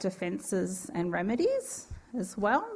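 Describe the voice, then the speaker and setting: Speaking fairly slowly, a woman talks in an Australian accent. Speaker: university law lecturer. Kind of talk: lecture.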